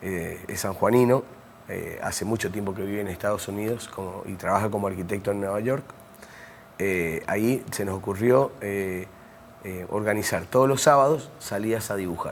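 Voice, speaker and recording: Pitch moves in an ordinary way. The speaking pace is moderate. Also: man, fairly low pitch for a man. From Mendoza, Argentina. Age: 60s. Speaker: architect and university lecturer. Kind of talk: interview. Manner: hesitant, many fillers.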